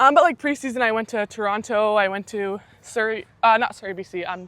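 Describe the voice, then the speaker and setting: A woman with a Canadian accent, a normal speaking voice, fairly high in pitch with ordinary pitch variation, a fairly quick pace and big swings in loudness. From Saskatchewan, Canada. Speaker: university athlete. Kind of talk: casual interview chat.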